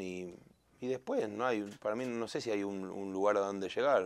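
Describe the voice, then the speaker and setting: A man speaks in a Rioplatense accent. His pitch is fairly low and his pace fairly slow. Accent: Argentine Spanish (rioplatense). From Argentina. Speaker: singer. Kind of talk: interview.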